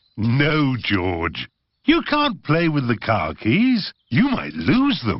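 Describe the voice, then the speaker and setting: A man puts on a cartoonish character voice at medium pitch. He speaks very slowly. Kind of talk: bedtime story.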